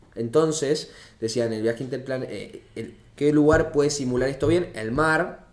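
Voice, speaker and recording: A man talks at a moderate pace. Room echo can be heard around him. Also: fairly high pitch for a man, ordinary pitch variation. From Argentina, Mendoza. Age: 20s. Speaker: engineering student and startup founder. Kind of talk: casual chat.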